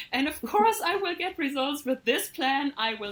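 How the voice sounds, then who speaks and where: A high-pitched woman with a German accent, very wide pitch swings and a moderate pace. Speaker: coaching client. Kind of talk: testimony. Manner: hesitant.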